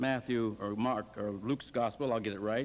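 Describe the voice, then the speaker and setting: This is a man with an American accent and an unremarkable speaking voice. He talks at a moderate pace with ordinary pitch variation. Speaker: preaching professor delivering a sermon. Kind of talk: sermon delivered to a seminary congregation. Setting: chapel, live congregation.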